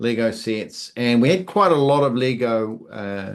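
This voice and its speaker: A man's medium-pitched voice with a New Zealand accent, against a quiet background. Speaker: YouTuber and hobbyist builder. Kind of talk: interview answers. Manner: hesitant, many fillers.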